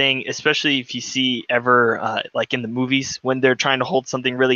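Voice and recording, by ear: Someone is reading aloud in a natural voice.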